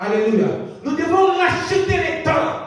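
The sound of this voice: With strong room echo around him, a man speaks slowly at an extremely high pitch with lively intonation.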